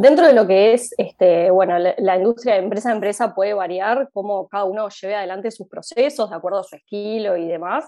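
A woman talks at a fairly quick pace with hardly any pauses, her medium pitch showing ordinary variation. Her loudness swings in a big way. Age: 20s. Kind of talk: interview. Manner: hesitant, many fillers.

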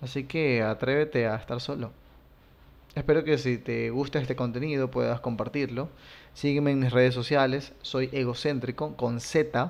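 A normal speaking voice from a man, medium in pitch, with fairly even intonation at a moderate pace. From Latin America. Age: 30s. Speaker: content creator. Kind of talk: personal monologue.

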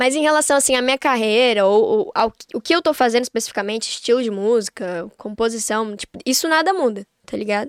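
Lively intonation comes at a fairly quick pace, in a dry, close sound with no echo. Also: woman, high pitch for a woman. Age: 20s. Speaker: singer-songwriter. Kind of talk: casual chat.

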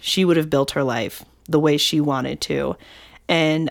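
At a moderate pace, a woman with a very deep, low pitch speaks in a very clean recording with a silent background. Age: 20s. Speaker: podcast co-host. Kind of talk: casual chat.

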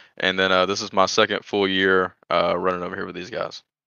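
A man speaks with a Southern US accent. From Georgia. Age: 20s. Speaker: sim racing driver. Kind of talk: casual interview.

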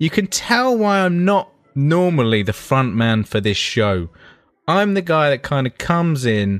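Over music in the background, a man speaks at a fairly slow pace with very wide pitch swings. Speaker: podcast co-host. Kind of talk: casual chat. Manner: stuttering, halting.

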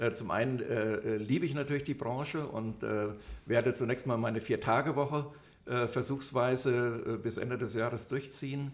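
A man with medium pitch talks at a moderate pace with fairly even intonation. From Upper Hesse, Germany. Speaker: trade magazine publisher. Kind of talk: interview. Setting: hotel recording room. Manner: hesitant, many fillers.

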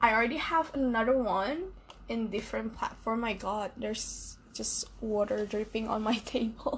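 Against noticeable background noise, a woman with an Indonesian accent speaks in a fairly high pitch with ordinary pitch variation and hardly any pauses. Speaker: podcaster. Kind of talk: solo podcast monologue. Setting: at night.

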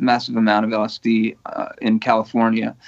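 This is an unremarkable speaking voice. The pace is moderate. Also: man. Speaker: painter and digital artist. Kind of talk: casual chat. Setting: video call.

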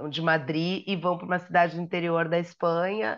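Speaking at a moderate pace and medium pitch, a woman with an unremarkable speaking voice is heard over a quiet background. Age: 50s. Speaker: magazine editor and podcast co-host. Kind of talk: casual chat.

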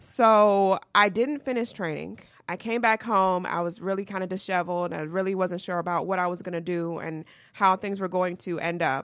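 A woman with an American accent has a normal speaking voice, a medium pitch and ordinary pitch variation. She speaks at a moderate pace on a very clean recording with a silent background. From US South, Georgia. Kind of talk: casual interview chat. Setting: studio.

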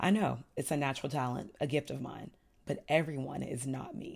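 On a very clean recording with a silent background, a woman with an American accent talks at a fairly quick pace in a very deep, low voice with vocal fry, an animated tone and ordinary pitch variation. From Texas, Houston. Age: 30s. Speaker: podcast host. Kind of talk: casual monologue.

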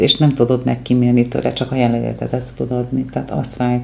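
A woman speaks with vocal fry and a dark, mellow tone. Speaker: psychologist. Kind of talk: casual interview. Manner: energetic; fast.

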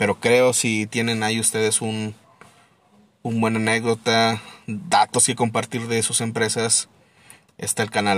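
Music plays in the background. A man speaks at a medium pitch and moderate pace. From Mexico, Torreón (La Laguna). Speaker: podcast host. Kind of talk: casual monologue. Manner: casual, hesitant with repetitions.

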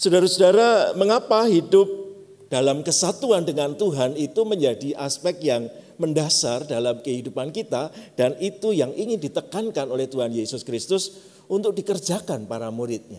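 A man with a Javanese accent and a fairly high pitch speaks at a moderate pace, with very wide pitch swings. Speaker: pastor. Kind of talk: sermon.

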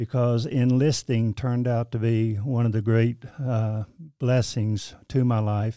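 In a Southern US accent, a man with a dark, mellow tone and medium pitch speaks at a fairly slow pace with monotone, flat intonation and very even loudness, on a very clean recording with a silent background. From eastern North Carolina. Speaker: church administrator. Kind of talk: casual interview. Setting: studio.

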